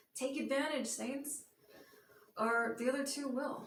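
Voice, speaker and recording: Audible room echo surrounds a woman speaking at a moderate pace in a high pitch. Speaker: sports vlogger. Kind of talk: casual monologue. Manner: hesitant with fillers.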